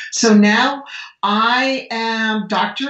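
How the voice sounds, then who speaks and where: A woman with an American accent, with audible room echo. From United States. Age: 60s. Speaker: medical doctor. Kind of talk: podcast interview.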